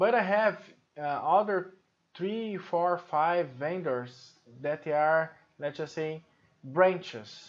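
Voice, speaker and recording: A man speaks with a high voice. His delivery is very slow. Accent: Brazilian Portuguese. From Brazil, Sao Paulo. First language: Portuguese. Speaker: software trainer. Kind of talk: tutorial. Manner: hesitant, many fillers.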